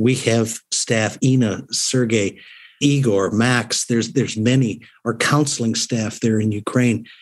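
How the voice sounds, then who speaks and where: In a plain, everyday voice, a man of medium pitch talks at a moderate pace with fairly even intonation. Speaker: organization president. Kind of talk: radio interview, reflective.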